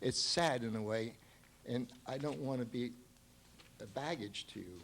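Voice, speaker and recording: Medium-pitched male speech, fairly slow, ordinary pitch variation, audible echo from the room. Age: 70s. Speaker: local resident speaking at public comment. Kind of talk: public comment at town council meeting. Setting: township council meeting. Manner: impassioned.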